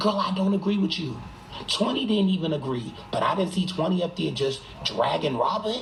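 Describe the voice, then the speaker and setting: A man with an American accent speaks at a high pitch with lively intonation and a moderate pace, amid audible room echo and noticeable background noise. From Boston. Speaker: live streamer. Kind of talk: casual chat. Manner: animated.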